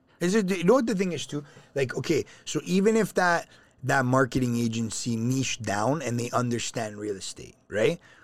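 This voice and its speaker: A man with a Toronto accent, medium pitch and very wide pitch swings, at a moderate pace. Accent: Canadian (Toronto). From Canada, Toronto. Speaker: financial company CEO. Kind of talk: casual interview.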